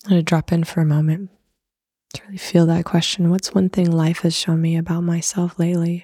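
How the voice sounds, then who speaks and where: Dark, mellow, somewhat breathy tone from a woman, fairly low in pitch, at a fairly quick pace with monotone, flat intonation. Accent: American. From Arizona, US. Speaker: breathwork facilitator and yoga teacher. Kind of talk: casual interview chat; guided reflection.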